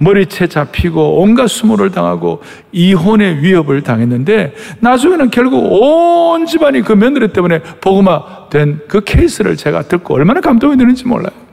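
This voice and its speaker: Over noticeable background noise, a man with a high pitch speaks at a moderate pace, his pitch swinging very widely while his loudness stays very even. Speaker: pastor. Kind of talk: sermon. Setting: church. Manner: animated, preacherly.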